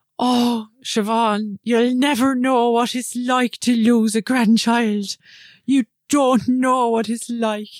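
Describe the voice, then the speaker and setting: In a put-on character voice with an Irish accent, the speaker talks slowly in a fairly high, monotone, flat delivery, the sound dry and close with no echo. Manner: bad accent, mournful.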